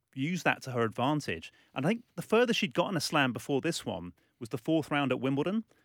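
A man with an English accent talks at a fairly quick pace in a fairly high pitch, his voice swinging very widely up and down, on a very clean recording with a silent background. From England, London. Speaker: sports journalist. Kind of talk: casual chat. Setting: studio.

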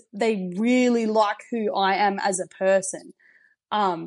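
A woman speaks with an Australian accent. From South Australia, Riverland. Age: 20s. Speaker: podcast guest sharing personal story. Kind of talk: casual interview, personal testimony. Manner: animated, high energy.

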